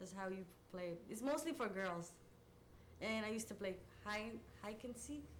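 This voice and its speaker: Pitched fairly high, a woman talks at a fairly quick pace. Audible room echo and noticeable background noise fill the recording. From Somalia. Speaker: oral history interviewee. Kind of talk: interview. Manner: halting.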